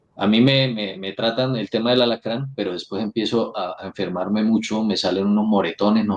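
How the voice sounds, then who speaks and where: A man's fairly low voice in a strong Santander Colombian accent, at a fairly quick pace with fairly even intonation. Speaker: influencer and political candidate. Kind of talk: interview.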